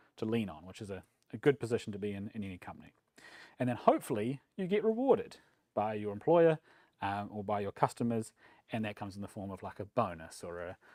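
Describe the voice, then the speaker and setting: In a New Zealand accent, a man with a fairly low pitch talks at a very fast pace, his loudness swinging widely. The recording is very clean and silent behind him, dry and close with no echo. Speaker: software developer, meetup speaker. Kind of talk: conference talk. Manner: casual, frequent fillers.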